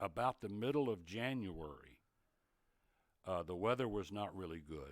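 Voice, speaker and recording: A man speaks with an East Tennessee accent. His intonation is lively and his pace moderate. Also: fairly low pitch for a man. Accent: Southern US (East Tennessee). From East Tennessee, US South. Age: 70s. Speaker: retired TV sportscaster. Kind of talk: casual interview chat.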